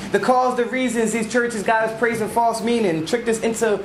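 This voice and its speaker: Noticeable background noise and audible room echo surround the speaker. A man talks at a moderate pace in a high pitch. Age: 20s. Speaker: spoken word poet. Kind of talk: spoken word performance. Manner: stutter.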